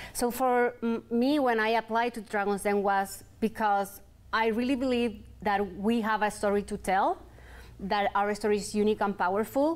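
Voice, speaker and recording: With a Chilean accent, a woman speaks at a moderate pace in a fairly high pitch, with very even loudness and fairly even intonation. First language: Spanish. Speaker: entrepreneur, clothing brand founder; guest. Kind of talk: interview. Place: studio.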